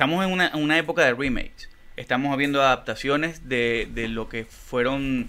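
A man speaks at a fairly high pitch. His tone is bright and sharp. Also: ordinary pitch variation, moderate pace. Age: 30s. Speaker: podcast co-host and musician; podcast co-host. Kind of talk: casual chat. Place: studio. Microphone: studio mic.

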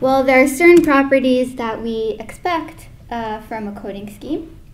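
A woman's high pitch amid audible room echo and light background noise. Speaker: presenter. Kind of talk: lecture. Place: hall.

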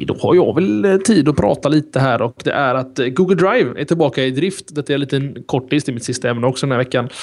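A man talks with hardly any pauses and ordinary pitch variation. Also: fairly quick pace. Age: 30s. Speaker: tech podcast host; podcast host. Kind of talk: casual chat. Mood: relaxed, conversational. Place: home room. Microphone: studio mic.

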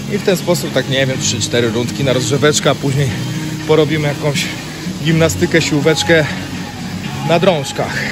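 There is clear music in the background as a man speaks at a moderate pace with ordinary pitch variation. He leaves long, frequent pauses. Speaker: fitness trainer. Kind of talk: casual vlog chat. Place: gym. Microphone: phone near.

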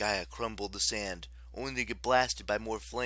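It is a natural reading voice with fairly even intonation.

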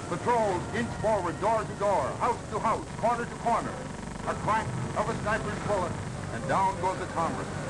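Loud background noise fills the recording. The speech moves at a moderate pace. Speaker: newsreel narrator. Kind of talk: wartime newsreel narration. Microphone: old recording.

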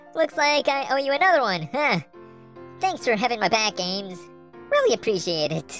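A put-on character voice, fairly high in pitch, lurches through very wide pitch swings at a moderate pace. Clear music plays in the background. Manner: cocky, teasing.

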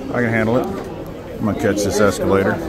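A man at a fairly quick pace with ordinary pitch variation, dry sound with no echo, and crowd noise in the background. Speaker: traveler vlogger. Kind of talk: casual vlog chat. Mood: mildly amused, wry. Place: station. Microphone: phone near.

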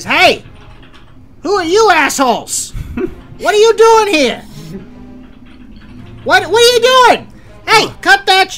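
In a put-on character voice with a Brooklyn accent, the speaker goes at a fairly slow pace with long, frequent pauses while faint music plays in the background. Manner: gruff, irritated.

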